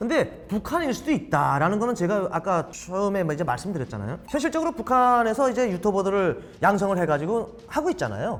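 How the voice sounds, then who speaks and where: Speaking at a fairly quick pace with hardly any pauses, a man with a high pitch makes very wide pitch swings. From North Korea. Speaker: North Korean defector, former spy. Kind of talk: video reaction commentary.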